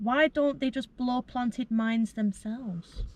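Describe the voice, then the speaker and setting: The voice is a woman's, pitched high. The sound is dry and close, with no echo. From England. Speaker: former volunteer, question reader. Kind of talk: reading viewer questions aloud.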